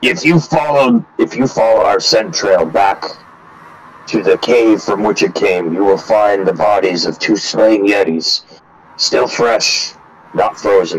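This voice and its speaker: A man in a put-on character voice, fairly low in pitch, at a fairly slow pace. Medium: actual play. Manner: formal, commanding.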